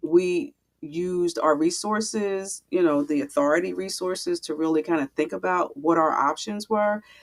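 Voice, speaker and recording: An ordinary speaking voice from a woman, fairly low in pitch, at a moderate pace, dry and close with no echo. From Philadelphia, US. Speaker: real estate investor and landlord coach. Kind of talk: webinar interview.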